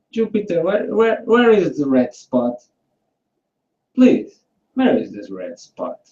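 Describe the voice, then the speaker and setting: Speaking at a very slow pace with long, frequent pauses, a man with a non-native accent swings widely in loudness. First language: not English. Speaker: flat earth debate participant. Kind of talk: casual online debate. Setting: video call hangout. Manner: halting.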